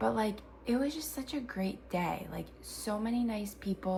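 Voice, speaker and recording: The woman keeps a moderate pace despite noticeable background noise. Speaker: crochet small business owner and vlogger. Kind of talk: casual vlog recap. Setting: at home early morning. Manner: casual, filler words.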